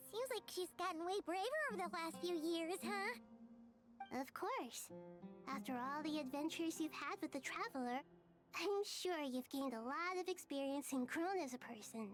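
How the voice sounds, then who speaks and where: A female-sounding speaker uses a put-on character voice with a high pitch and a gentle tone. She keeps a moderate pace while clear music plays in the background. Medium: video game. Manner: gentle, thoughtful, soft-spoken.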